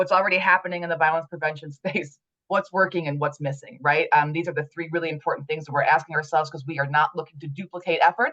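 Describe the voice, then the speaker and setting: Her tone is bright and sharp, her pitch fairly low for a woman. She speaks at a very fast pace. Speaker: committee leader. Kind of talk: meeting report.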